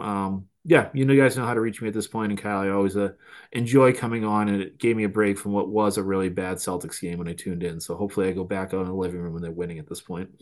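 This man talks at a fast pace, with a fairly low pitch and fairly even intonation.

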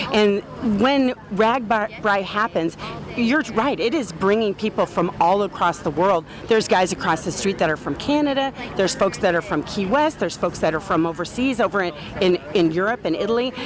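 Lively intonation marks this woman's medium-pitched voice at a moderate pace. Noticeable background noise runs underneath. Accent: Midwestern American. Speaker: community foundation representative. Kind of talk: interview.

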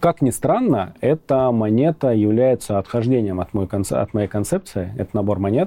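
A man talks with lively intonation and a dark, mellow tone. He leaves hardly any pauses, and the sound is dry and close with no echo. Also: medium pitch for a man, moderate pace. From Rostov-on-Don, southern Russia. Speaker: cybersecurity expert. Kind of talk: interview. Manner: halting.

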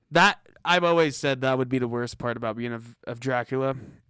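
A bright, sharp tone with lively intonation moves at a fairly quick pace on a very clean recording with a silent background. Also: man. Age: young. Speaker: podcast co-host. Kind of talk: casual chat.

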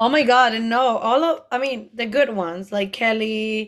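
A woman with a Spanish accent at a very slow pace, with ordinary pitch variation, in a very clean recording with a silent background. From Mexico. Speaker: drag queen and comedian. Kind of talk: casual chat recapping a TV show.

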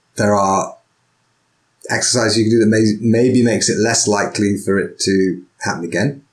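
With an unremarkable speaking voice, a man talks at a moderate pace in a medium pitch, his loudness very even and his intonation fairly even. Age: 40s. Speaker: podcast host and sword teacher. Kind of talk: casual interview.

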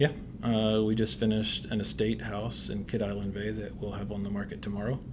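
Audible room echo surrounds a man with an American accent. He talks at a fairly low pitch and a fairly quick pace. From US South, northwest Tennessee. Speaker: realtor and real estate investor. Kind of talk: casual interview.

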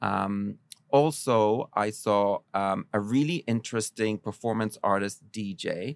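Speaking in a plain, everyday voice, a man with a fairly low pitch and ordinary pitch variation is heard in a dry, close sound with no echo, on a very clean recording with a silent background. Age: 40s. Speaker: culture columnist. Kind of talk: casual chat.

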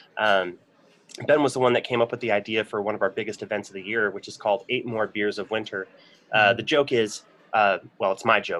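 Someone with an American accent talks at a fairly quick pace in a bright, sharp tone with fairly even intonation. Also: man, fairly low pitch for a man. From Michigan. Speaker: brewery sales representative. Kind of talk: casual interview.

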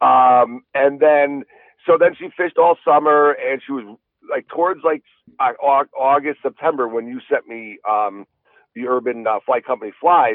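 Using a plain, everyday voice, a fairly high-pitched man speaks fairly slowly with ordinary pitch variation and big swings in loudness. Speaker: fly fishing guide and YouTuber. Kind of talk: casual chat. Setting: studio.

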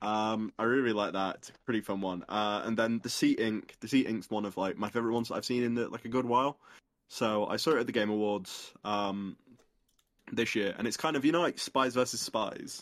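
A man talks at a fairly quick pace with fairly even intonation. The recording is very clean, with a silent background. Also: medium pitch for a man. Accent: British. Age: 20s. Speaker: streamer and live events worker. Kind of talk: casual chat.

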